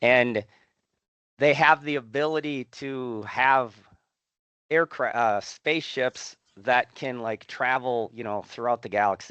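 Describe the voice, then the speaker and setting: Fairly slow and full of long, frequent pauses, a man's medium-pitched voice has a bright, sharp tone, ordinary pitch variation and big swings in loudness, with a dry, close sound and no echo. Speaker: professor. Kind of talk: lecture. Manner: animated.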